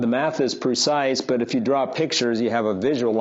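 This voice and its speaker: A man with an ordinary speaking voice, fairly even intonation, and a moderate pace. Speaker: university lecturer. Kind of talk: lecture.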